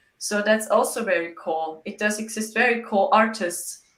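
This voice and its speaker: With a German accent, a woman speaks at a medium pitch using fairly even intonation. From Germany. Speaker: psychic medium. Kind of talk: interview.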